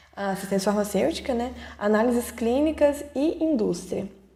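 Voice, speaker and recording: A woman speaks fairly slowly with ordinary pitch variation as noticeable noise sounds in the background. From Brazil, Ouro Preto (Minas Gerais). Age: 20s. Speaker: pharmacist, production supervisor. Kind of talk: online talk to students. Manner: halting, many fillers.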